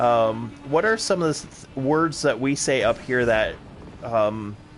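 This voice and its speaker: A man speaks at a fairly slow pace with lively intonation over noticeable background noise. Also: medium pitch for a man. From Wisconsin, US Upper Midwest. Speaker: gaming streamer. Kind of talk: casual chat. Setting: live stream.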